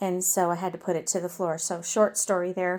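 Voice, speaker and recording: Heard in a very clean recording with a silent background, a woman speaks in a dark, mellow tone. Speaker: pet vlogger. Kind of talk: casual vlog. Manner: loud.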